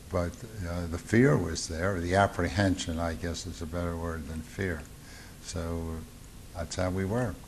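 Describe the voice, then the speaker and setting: A man in a Baltimore accent speaks with a very deep, low pitch at a fairly slow pace, with ordinary pitch variation, long, frequent pauses and light background noise. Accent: Mid-Atlantic US (Baltimore). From Baltimore, Maryland. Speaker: war veteran. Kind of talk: oral history interview. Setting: veterans reunion. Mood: reflective, calm. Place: home room.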